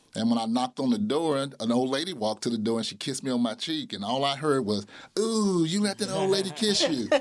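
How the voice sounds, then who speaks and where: A man with an American accent, fairly high in pitch, talking at a very fast pace with very wide pitch swings. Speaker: school principal. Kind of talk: interview testimony.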